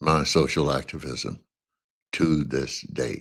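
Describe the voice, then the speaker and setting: A man with a very deep, low pitch and vocal fry speaks with an American accent in a very clean recording with a silent background. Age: 80s+. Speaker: social activist, former university professor. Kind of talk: podcast introduction talk.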